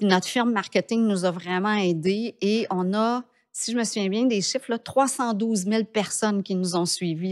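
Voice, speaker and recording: A woman's medium-pitched voice at a fairly slow pace, set against a quiet background. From Quebec. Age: 50s. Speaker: entrepreneur; podcast guest. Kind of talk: interview. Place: studio. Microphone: studio mic.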